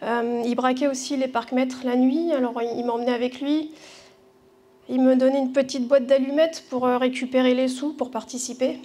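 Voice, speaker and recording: Audible room echo surrounds a woman's high-pitched voice. She speaks at a moderate pace in a flat, monotone intonation. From southwestern France, Bordeaux. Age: 40s. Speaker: church member giving testimony. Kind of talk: testimony. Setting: church gathering with audience. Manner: halting, many hesitations.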